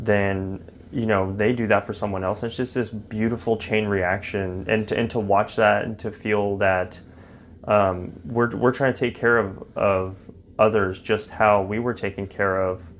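A man with an American accent, fairly low in pitch, at a fairly slow pace in a monotone, flat intonation. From Texas, Fort Worth. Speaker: recovering alcoholic sharing his story. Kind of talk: casual interview about recovery.

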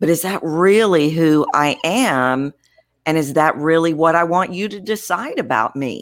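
The tone is energetic and intense, with lively intonation. Delivery moves at a fairly slow pace. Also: woman, fairly low pitch for a woman. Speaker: voice coach. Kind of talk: interview. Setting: video call.

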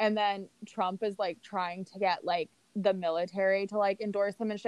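An unremarkable speaking voice from a woman with an American accent, medium in pitch, at a fairly quick pace, with a dry, close sound and no echo. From San Francisco, California. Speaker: podcast co-host. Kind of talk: casual chat.

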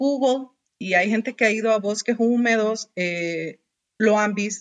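A woman speaks at a fairly slow pace with a fairly high pitch. The sound is dry and close with no echo, on a very clean recording with a silent background. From Honduras, Tegucigalpa. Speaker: biologist. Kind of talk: interview.

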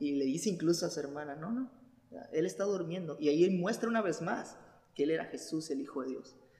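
Using a normal speaking voice, a man speaks at a fairly high pitch with lively intonation. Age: 20s. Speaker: church youth podcast host. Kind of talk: casual chat.

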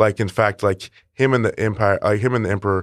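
A man with an unremarkable speaking voice and a fairly low pitch talks at a moderate pace, with a dry, close sound with no echo and a quiet background. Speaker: podcast co-host. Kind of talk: casual chat.

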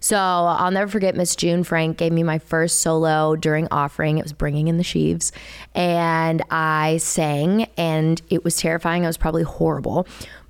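A woman with an American accent, fairly low in pitch, at a moderate pace, on a very clean recording with a silent background. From US South, Chattanooga, Tennessee. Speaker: singer-songwriter. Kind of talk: casual chat. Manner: animated.

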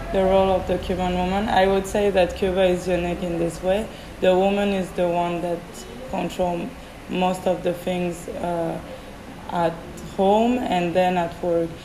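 In a French accent, a woman speaks fairly slowly at a medium pitch in a flat monotone, with audible room echo and noticeable background noise. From France. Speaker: podcast guest, business graduate. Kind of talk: casual interview.

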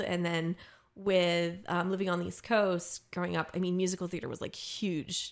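In a very clean recording with a silent background, a woman with an American accent talks at a moderate pace in a fairly low pitch. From US, Maryland. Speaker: occupational therapist and singer-songwriter. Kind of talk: casual interview. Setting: studio.

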